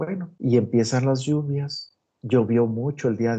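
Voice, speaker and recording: Here a man speaks in a dark, mellow tone. His pitch sits in the medium range. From Mexico, Guanajuato. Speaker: agronomy professor. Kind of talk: online lecture.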